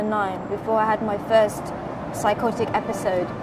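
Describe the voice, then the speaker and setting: Noticeable background noise sits behind a woman speaking at a moderate pace in a fairly high pitch. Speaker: poet. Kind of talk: spoken introduction to a poetry reading.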